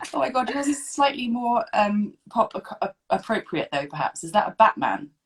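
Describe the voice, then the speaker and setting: A woman with a British accent speaks at a fairly high pitch with vocal fry. Her pitch swings very widely and her loudness rises and falls a lot. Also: moderate pace. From UK. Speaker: podcast host. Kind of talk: scripted introduction; casual interview chat. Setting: recording from home, video call.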